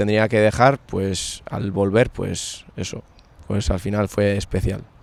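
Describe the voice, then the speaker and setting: This man's fairly low voice holds a monotone, flat intonation. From Navarre, Spain (Larraun valley). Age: 20s. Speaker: handball player. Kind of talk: interview.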